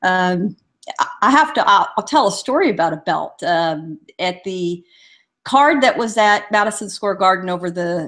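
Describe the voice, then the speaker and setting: A woman speaks with an American accent at a moderate pace. She has an ordinary speaking voice. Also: very clean recording, silent background. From Southern California (San Diego). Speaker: boxing columnist. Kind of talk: casual chat.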